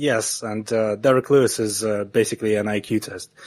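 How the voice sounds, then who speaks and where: At a moderate pace, a man with a non-native accent speaks in a fairly low pitch. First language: not English. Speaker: MMA analyst. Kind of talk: casual podcast chat. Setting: online call. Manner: halting, many filler words.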